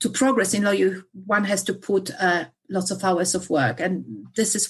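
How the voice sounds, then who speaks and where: A woman with a Polish accent, medium-pitched, with ordinary pitch variation. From Poland. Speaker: solicitor. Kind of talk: interview. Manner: halting, many fillers.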